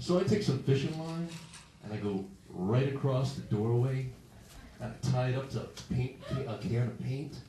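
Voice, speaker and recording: Speaking with an American accent at a moderate pace, the voice shows ordinary pitch variation and long, frequent pauses, with audible room echo and noticeable background noise. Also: man, medium pitch for a man. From Massachusetts. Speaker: stand-up comedian. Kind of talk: stand-up. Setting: stage with audience.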